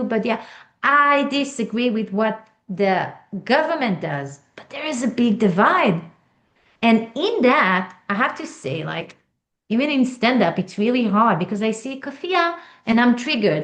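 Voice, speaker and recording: A woman's fairly high voice with an Israeli accent, with very wide pitch swings and big swings in loudness, at a moderate pace with long, frequent pauses. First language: Hebrew. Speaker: author and stand-up comedian. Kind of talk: interview.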